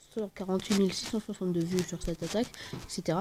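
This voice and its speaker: The speaker is soft-spoken. Pitch variation is ordinary. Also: woman. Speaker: gaming YouTuber. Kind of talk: gameplay commentary. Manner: quiet, speaking softly; hesitant, many fillers.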